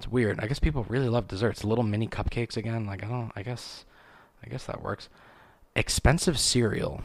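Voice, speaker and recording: Talking at a fairly quick pace, a man has a plain, everyday voice of medium pitch with ordinary pitch variation. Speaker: podcast host. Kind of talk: casual solo monologue. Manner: casual, rambling, filler words.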